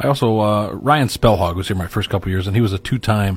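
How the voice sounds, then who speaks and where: Somewhat breathy, a man rushes through his words at a very fast speed. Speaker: university sports media relations staff. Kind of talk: casual chat.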